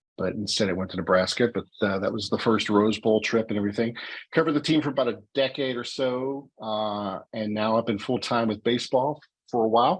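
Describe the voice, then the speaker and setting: A man in a Pittsburgh accent, medium in pitch, at a fairly quick pace with ordinary pitch variation. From Pittsburgh, north side. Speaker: baseball beat writer. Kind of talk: podcast interview. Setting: podcast.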